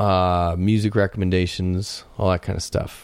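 An ordinary speaking voice: a man with an American accent, fairly low in pitch, speaking at a moderate pace. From US South, Florida. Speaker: podcast host, mastering engineer. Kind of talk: casual chat.

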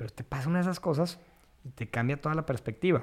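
Fairly quick speech from a man in an ordinary speaking voice, fairly high in pitch. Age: 30s. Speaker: landscaper and biophilia advocate. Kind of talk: casual interview.

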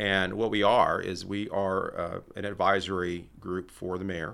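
On a very clean recording with a silent background, a man with an American accent speaks in a very deep, low pitch with a bright, sharp tone and monotone, flat intonation. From Texas, Laredo. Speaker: tourism and public affairs director. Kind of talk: interview conversation.

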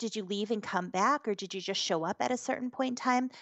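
This woman has a plain, everyday voice with a fairly high pitch. Her intonation is lively. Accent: American. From US New Hampshire. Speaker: hypnotherapist. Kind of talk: interview.

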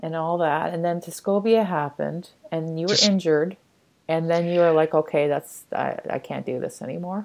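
A woman with an unremarkable speaking voice talks at a moderate pace with a Canadian accent. Her pitch is fairly low. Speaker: podcast host. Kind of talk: interview conversation.

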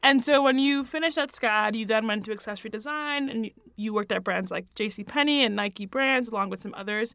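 A woman speaks at a fairly quick pace with a fairly high pitch, ordinary pitch variation and a bright, sharp tone, in a very clean recording with a silent background. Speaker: podcast host. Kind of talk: podcast interview.

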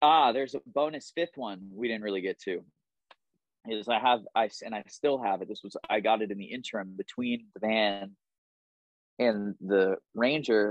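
Speaking in a normal speaking voice, a man with a fairly low pitch talks at a moderate pace with ordinary pitch variation. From London, England, then Southern California. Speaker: musician, band frontman. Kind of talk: casual chat.

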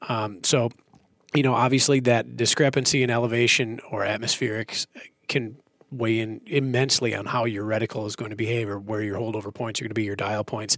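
Fairly quick speech from a man with an Upper Midwest accent. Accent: Upper Midwest American. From central Minnesota. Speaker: optics company employee, hunter. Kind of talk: casual technical discussion.

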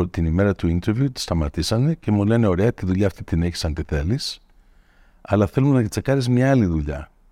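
In a very clean recording that is dry and close, with no echo and a silent background, a man speaks at a moderate pace and a fairly low pitch, his tone dark and mellow and his intonation lively. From Greece (Attica) until age 9, then United States. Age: 50s. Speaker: tech executive. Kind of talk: interview conversation. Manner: mixes English words into Greek.

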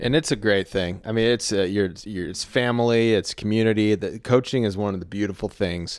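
A normal speaking voice with an American accent, fairly quick pace and fairly even intonation, on a very clean recording with a silent background. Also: man, fairly low pitch for a man. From Texas. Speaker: podcast host and content creator. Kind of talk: casual chat.

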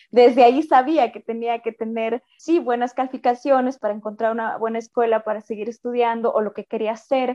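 The speech moves at a fairly quick pace with hardly any pauses and fairly even intonation. Loudness swings widely in a dry, close sound with no echo. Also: woman, fairly high pitch for a woman. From Mexico, Sierra Norte of Oaxaca. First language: Mixe (speaking Spanish). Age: 30s. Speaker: opera singer. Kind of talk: interview.

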